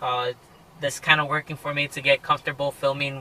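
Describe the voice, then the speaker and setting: Over noticeable background noise, a man speaks at a fairly quick pace in a fairly high, monotone voice with flat intonation and a dry, close sound with no echo. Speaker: car vlogger. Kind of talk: casual vlog talk. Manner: hesitant, many fillers.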